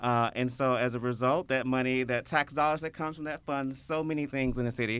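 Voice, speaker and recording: Talking at a fairly quick pace with hardly any pauses, a man with a Memphis accent keeps his medium pitch in fairly even intonation. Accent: Memphis Southern US. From Memphis, Tennessee (Whitehaven). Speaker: tourism promoter. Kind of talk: casual interview chat.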